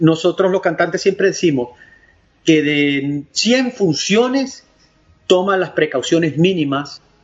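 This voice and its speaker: Very slow speech from a man in a Venezuelan accent. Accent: mild Venezuelan. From Venezuelan Andes (Valera). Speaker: opera tenor. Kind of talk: interview.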